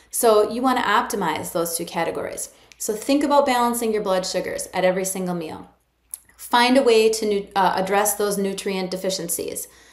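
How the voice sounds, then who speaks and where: Against a quiet background with audible room echo, a woman speaks at a fairly quick pace with ordinary pitch variation. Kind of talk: educational talk to camera. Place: office. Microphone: phone near.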